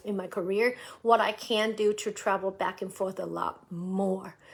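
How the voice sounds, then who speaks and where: A woman speaks with a West Coast accent. Her intonation stays flat and monotone. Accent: American English, West Coast. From US, San Francisco Bay Area. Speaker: musician, live streamer. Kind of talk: casual live stream chat. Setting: live video stream. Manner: halting, many fillers and repeats.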